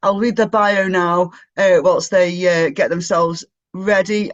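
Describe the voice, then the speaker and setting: The speaker is a man with an English accent. He talks at a moderate pace. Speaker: online event host. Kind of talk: event hosting, reading a bio. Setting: video call. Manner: animated.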